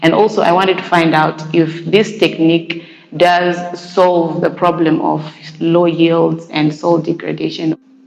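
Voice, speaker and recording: A woman's fairly low, monotone voice with flat intonation, very even loudness and a fairly slow pace, over noticeable background noise. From Zimbabwe, Mutare. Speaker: graduate student researcher. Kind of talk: interview testimony.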